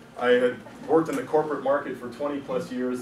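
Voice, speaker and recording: Audible room echo around a man's voice at a fairly quick pace. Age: 50s. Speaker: juggler and entertainer giving a business talk. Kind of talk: meetup presentation talk. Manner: casual, joking, with frequent fillers.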